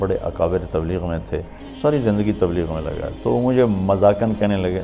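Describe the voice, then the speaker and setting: With music in the background, a man speaks in a fairly low voice with ordinary pitch variation. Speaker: Islamic preacher. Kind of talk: religious lecture recounting personal anecdotes. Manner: conversational, humorous, sincere.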